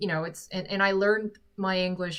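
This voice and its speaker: Here a woman speaks with an American accent. Her intonation is monotone and flat. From South Korea. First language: Korean. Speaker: musician and livestreamer. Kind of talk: live stream Q&A chat. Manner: halting, frequent self-corrections.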